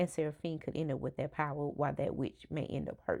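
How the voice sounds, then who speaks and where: A woman's very deep, low voice with a Southern US accent. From US South, rural Alabama. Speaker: book vlogger. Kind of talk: casual vlog talk to camera. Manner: casual, with many fillers.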